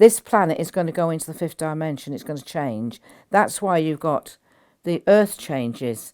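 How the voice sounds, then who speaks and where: Very wide pitch swings from a woman with a British accent, dark and mellow in tone, at a moderate pace on a very clean recording with a silent background. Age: 80s+. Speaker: spiritual teacher. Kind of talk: interview. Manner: halting.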